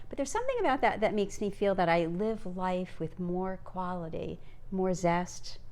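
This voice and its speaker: A woman's voice, with ordinary pitch variation, comes through noticeable background noise and audible echo from the room. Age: 60s. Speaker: grandmother podcast co-host. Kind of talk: casual chat. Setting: home video recording with Christmas tree.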